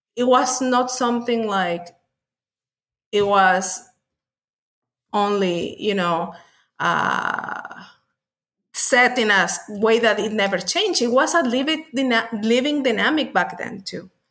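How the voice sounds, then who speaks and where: A woman with a Spanish accent speaks very slowly, leaving long, frequent pauses. Her pitch is fairly high and her intonation lively. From Mexico. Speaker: author and witchcraft practitioner. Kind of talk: casual interview chat.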